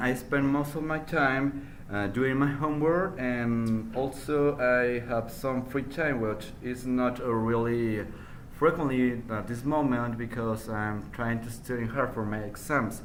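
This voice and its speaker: A man's medium-pitched voice at a fairly slow pace, with fairly even intonation, audible room echo and noticeable background noise. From northern Mexico, Durango. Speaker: university student. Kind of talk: spoken language test. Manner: halting, many fillers.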